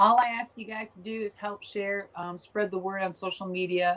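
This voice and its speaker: Against noticeable background noise, a woman with an Upper Midwest US accent speaks at a moderate pace and medium pitch with ordinary pitch variation. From Minnesota. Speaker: former professional wrestler. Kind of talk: interview.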